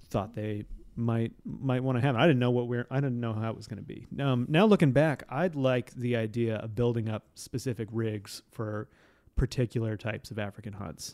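This man's voice sits at a medium pitch with ordinary pitch variation, and his loudness swings widely. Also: moderate pace. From Montana. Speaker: author's descendant and hunter. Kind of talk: casual chat. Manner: halting.

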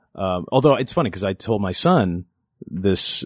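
A man with a Californian accent speaks in a fairly low pitch with ordinary pitch variation. The background is quiet, and the sound is dry and close with no echo. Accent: General American (Californian). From Los Angeles (Inglewood, North Valley). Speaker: voice actor and improv comedian. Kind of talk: casual chat.

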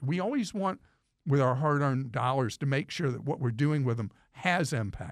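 A man with a normal speaking voice and lively intonation talks at a moderate pace, in a very clean recording with a silent background and a dry, close sound with no echo. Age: 60s. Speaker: consumer money radio host. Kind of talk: casual chat.

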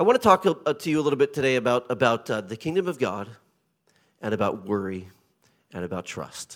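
Speaking with a Pacific Northwest accent, a man at a medium pitch uses an animated tone and very wide pitch swings, leaving long, frequent pauses. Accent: American, Pacific Northwest. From US Pacific Northwest (Portland, Oregon). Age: 50s. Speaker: visiting pastor. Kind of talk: sermon. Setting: church with congregation, handheld mic. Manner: animated, humorous.

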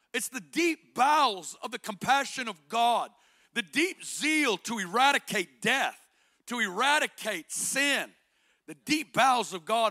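Raising and projecting his voice, a man with an Arkansas accent speaks at a fairly slow pace and an extremely high pitch in a bright, sharp tone, the sound dry and close with no echo on a very clean recording with a silent background. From Northwest Arkansas. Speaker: guest preacher. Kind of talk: sermon. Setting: church stage with congregation.

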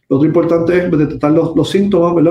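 A man is speaking. His intonation is fairly even. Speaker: vascular surgeon. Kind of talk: medical educational talk. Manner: halting, many fillers.

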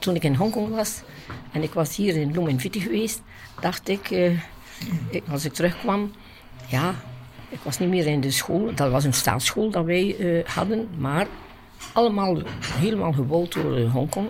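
A woman's fairly low voice with lively intonation at a moderate pace, long, frequent pauses, and noticeable background noise. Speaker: nun, former missionary teacher. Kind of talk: interview.

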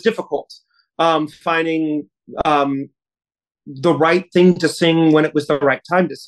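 A man with an ordinary speaking voice, fairly high in pitch, at a moderate pace, in a dry, close recording with no echo. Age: 30s. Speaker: opera singer. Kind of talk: interview.

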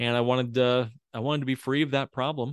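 A man with an American accent speaks in a monotone. His intonation is flat over a quiet background. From Indiana, US Midwest. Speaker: financial planner. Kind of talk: casual interview.

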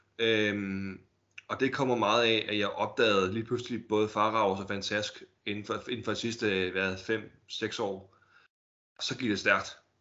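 A man speaks at a fairly low pitch in a monotone, flat intonation. His pace is fairly slow, with long, frequent pauses. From Denmark, Holbæk (Zealand). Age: 30s. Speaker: collector. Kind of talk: casual interview. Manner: halting, many fillers and repetitions.

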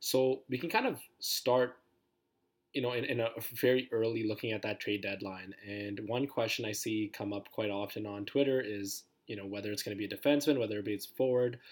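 The pace is fairly quick and the intonation fairly even. It is an ordinary speaking voice. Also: man, medium pitch for a man. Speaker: sports podcast co-host. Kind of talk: casual chat.

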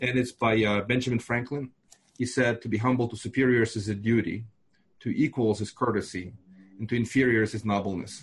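Somewhat breathy, a man with a Russian accent speaks at a fairly quick pace with fairly even intonation. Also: medium pitch for a man. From Moldova. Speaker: fund investor. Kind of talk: casual interview chat.

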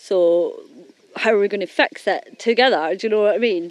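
A woman with an unremarkable speaking voice and medium pitch talks at a moderate pace, in a dry, close sound with no echo. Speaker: interviewee on doorstep. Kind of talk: casual chat.

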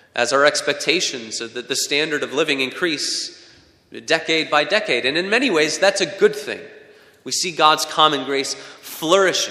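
Against noticeable background noise, a man speaks at a moderate pace. His voice is fairly high, with ordinary pitch variation. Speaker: pastor. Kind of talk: sermon. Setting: church.

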